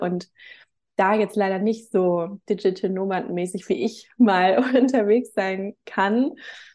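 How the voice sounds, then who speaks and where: A woman speaks at a very slow pace with a dark, mellow tone. The background is quiet. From northern Germany, Hamburg. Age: 30s. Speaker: reiki teacher. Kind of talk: casual interview.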